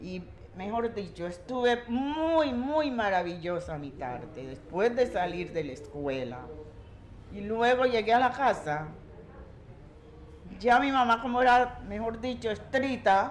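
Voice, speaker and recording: A woman's very slow speech with long, frequent pauses and very wide pitch swings, amid noticeable background noise and audible room echo. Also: fairly high pitch for a woman, big swings in loudness. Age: 70s. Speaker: community elder. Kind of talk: oral storytelling.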